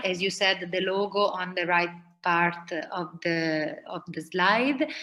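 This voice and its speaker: With an Italian accent, a woman speaks in a bright, sharp tone. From Italy (Rome). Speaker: food designer. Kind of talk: presentation.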